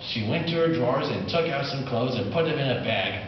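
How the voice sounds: Amid clear background noise and audible room echo, a man talks at a fairly quick pace in a medium pitch with lively intonation.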